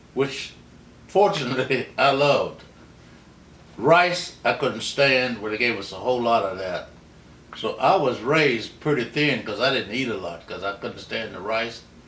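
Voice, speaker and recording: A man with an American accent speaks at a medium pitch with lively intonation. Room echo is audible, along with noticeable background noise. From US South, southern West Virginia (Mount Hope). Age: 80s+. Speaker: interviewee recounting his life. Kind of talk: oral history interview. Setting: at home. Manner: unhurried, storytelling.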